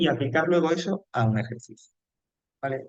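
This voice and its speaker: A man speaks at a moderate pace in a fairly high voice, his intonation lively. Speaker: teacher. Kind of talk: lecture.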